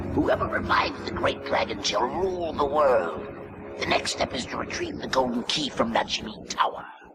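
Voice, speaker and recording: Put-on character voice from a man, moderate in pace, over clear background music. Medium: fan dub. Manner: deferential.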